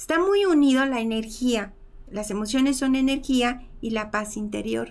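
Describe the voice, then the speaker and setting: Her voice high in pitch with ordinary variation, a woman speaks at a fairly slow pace. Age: 50s. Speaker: emotional healing and bioenergy teacher; bioenergy teacher. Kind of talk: teaching talk in a live stream. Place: home room.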